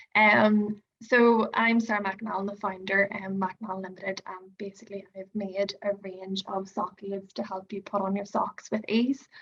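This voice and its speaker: With an Irish accent, the speaker goes at a fairly slow pace with fairly even intonation. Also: woman. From Ireland. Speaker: product founder. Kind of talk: product demonstration.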